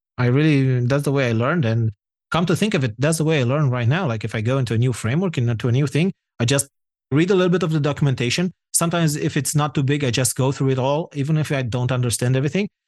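A man with a Romanian accent talks at a very fast pace and a fairly high pitch. The background is quiet. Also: ordinary pitch variation, very even loudness. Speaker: software developer and founder. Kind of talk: podcast interview.

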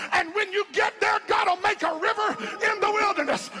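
Over crowd noise in the background, a man shouts at an extremely high pitch with fairly even intonation. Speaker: preacher. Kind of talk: sermon, preacher in full flow with call-and-response.

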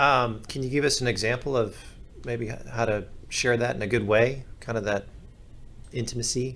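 A man of medium pitch speaks at a moderate pace with fairly even intonation. Long, frequent pauses break his speech, and the room echo is audible. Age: 30s. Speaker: podcast producer. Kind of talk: casual chat.

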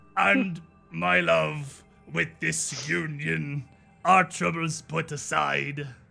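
A man puts on a character voice at a fairly high pitch, speaking at a very slow pace while faint music plays in the background. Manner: bad, exaggerated imitation.

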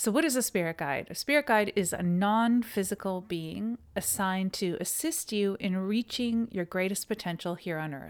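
In a plain, everyday voice, a woman with a Canadian accent speaks at a moderate pace and medium pitch with lively intonation and hardly any pauses. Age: 50s. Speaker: yoga teacher and podcast host. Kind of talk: solo podcast monologue.

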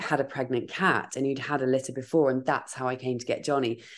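A woman with a southern English accent speaks at a very deep, low pitch. The background is quiet. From Dorset, southern England. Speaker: podcaster. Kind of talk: casual chat. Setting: video call.

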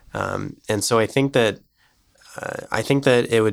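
Here a man speaks in an ordinary speaking voice. His pitch is medium, with ordinary pitch variation. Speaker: medical student. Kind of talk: casual interview.

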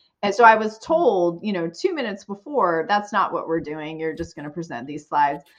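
A woman's normal speaking voice at a medium pitch and fairly quick pace, with lively intonation, big swings in loudness, hardly any pauses, and a quiet background. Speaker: sales director. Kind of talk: interview conversation.

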